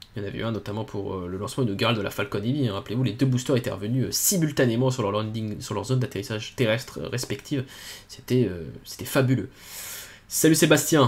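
A somewhat breathy man at a very fast pace, with ordinary pitch variation. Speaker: space launch livestream host; livestream space launch commentator. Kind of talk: live commentary.

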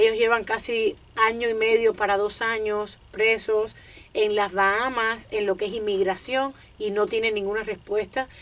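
A woman talks at a fairly slow pace. Her intonation stays monotone and flat. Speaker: radio co-host. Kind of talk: radio show call-in guest conversation. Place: studio. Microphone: studio mic.

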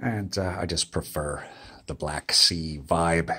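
Over a quiet background, a man talks at a very slow pace in a bright, sharp tone. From United States. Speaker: vlogger, digital nomad; travel vlogger. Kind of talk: casual vlog monologue; casual vlog chat. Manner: halting, many fillers. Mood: weary, mildly complaining. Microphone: phone near.

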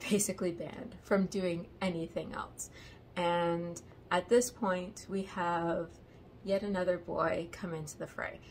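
A fairly slow-paced woman's voice amid light background noise. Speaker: book reviewer. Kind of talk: casual vlog chat. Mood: amused, wry. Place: home room. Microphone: phone near.

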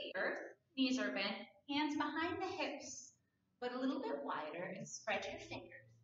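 Against audible room echo, a woman speaks in a high voice with very wide pitch swings. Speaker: yoga instructor. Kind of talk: guided prenatal yoga class with calm step-by-step cueing of stretches. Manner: gentle, soothing and reassuring, giving permission to stop; unhurried, precise alignment cues spoken softly. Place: home room. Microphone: camera far.

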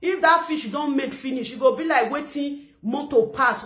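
Against a quiet background, a woman talks in a bright, sharp tone with ordinary pitch variation. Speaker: social media commentator. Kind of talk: casual vlog rant. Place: home room. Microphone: phone near.

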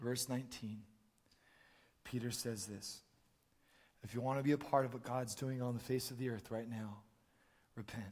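A man's somewhat breathy voice at a medium pitch, moderate pace, with long, frequent pauses. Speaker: preacher. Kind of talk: sermon. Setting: church stage with audience. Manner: animated.

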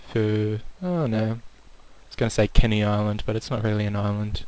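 A man's medium-pitched voice, with ordinary pitch variation, moves at a moderate pace. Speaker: gaming video creator. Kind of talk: gameplay commentary. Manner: more animated than usual.

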